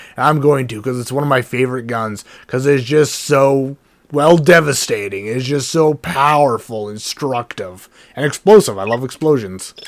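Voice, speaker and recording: At a moderate pace and medium pitch, a man talks in a normal speaking voice with ordinary pitch variation. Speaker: let's play gamer. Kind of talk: casual gameplay commentary.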